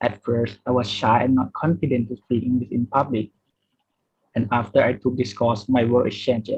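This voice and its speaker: With a dark, mellow tone that is somewhat breathy, a man speaks at a medium pitch and a moderate pace. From Thailand. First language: not English (English is third language). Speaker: student. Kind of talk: award acceptance speech.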